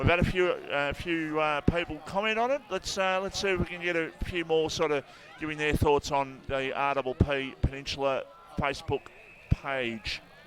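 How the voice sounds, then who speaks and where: This man has an Australian accent and a fairly high pitch. He talks at a moderate pace with ordinary pitch variation. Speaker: football commentator. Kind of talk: live commentary. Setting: radio broadcast at football ground. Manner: loud.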